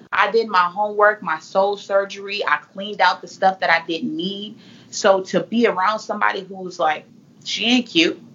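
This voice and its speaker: Her voice plain and everyday, a woman talks at a moderate pace and medium pitch with fairly even intonation. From California. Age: 20s. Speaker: motivational speaker and author. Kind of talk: casual interview.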